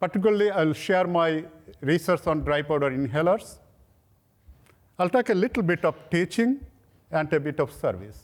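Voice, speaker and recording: Speaking at a moderate pace with long, frequent pauses, a man uses lively intonation at a high pitch. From Bangladesh, near Dhaka. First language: Bangla. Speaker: professor. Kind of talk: lecture.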